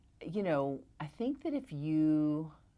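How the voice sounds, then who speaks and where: With lively intonation, a woman speaks in a very deep, low pitch and a Southern US accent on a very clean recording with a silent background. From Tennessee, US South. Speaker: real estate broker. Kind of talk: interview. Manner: animated.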